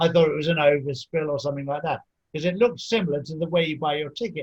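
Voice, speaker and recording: Very fast speech in an English accent. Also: man. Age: 60s. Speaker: podcast host. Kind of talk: interview. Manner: halting.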